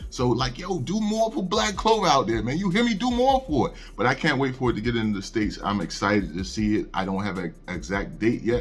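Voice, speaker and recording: A man rattles off his words at a very fast pace, with light background noise behind him. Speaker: anime news youtuber. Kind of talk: casual news commentary. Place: home room. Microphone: studio mic.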